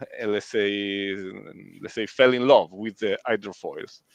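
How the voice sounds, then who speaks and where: A fairly slow delivery with fairly even intonation, in an Italian accent. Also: man. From Italy. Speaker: live stream host. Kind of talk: live stream interview. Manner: halting, many fillers.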